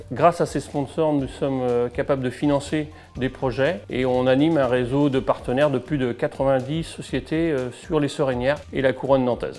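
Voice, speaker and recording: With music in the background, a man talks with hardly any pauses. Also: medium pitch for a man, ordinary pitch variation, moderate pace. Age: 50s. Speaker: football club volunteer. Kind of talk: interview testimony.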